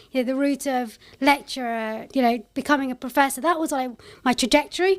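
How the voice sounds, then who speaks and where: A woman's high voice with a London accent at a very fast pace, on a very clean recording with a silent background. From London, England. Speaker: tech company CEO and founder. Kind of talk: podcast interview. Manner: casual, conversational.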